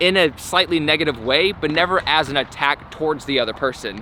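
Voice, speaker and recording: Noticeable background noise sits behind speech at a fairly quick pace with ordinary pitch variation. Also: man. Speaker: skateboarding YouTuber. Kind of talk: vlog monologue. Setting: outdoors at skate park. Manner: clear and loud on camera; even, unemotional delivery.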